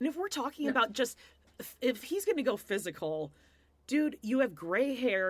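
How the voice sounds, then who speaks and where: Very wide pitch swings run through this woman's voice. She keeps a moderate pace. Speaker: pop culture podcast co-host. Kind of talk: casual chat.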